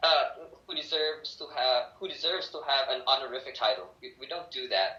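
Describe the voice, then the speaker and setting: A man talks fairly quickly, his loudness swinging widely, with noticeable noise in the background. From Philippines, Bacolod (Negros Occidental). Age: 20s. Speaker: English teacher and law student. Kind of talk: casual interview.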